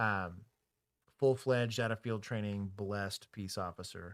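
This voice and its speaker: A man with a Texas accent speaks at a moderate pace in a fairly low voice with ordinary pitch variation, on a very clean recording with a silent background. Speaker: former police officer and streamer. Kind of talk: casual livestream chat.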